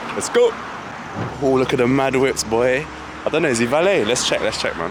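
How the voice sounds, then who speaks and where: A man with a London accent at a fairly quick pace, ordinary pitch variation, audible room echo and noticeable background noise. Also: medium pitch for a man. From London, England. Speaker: street interviewer. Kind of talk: street interview. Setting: outdoors on the street.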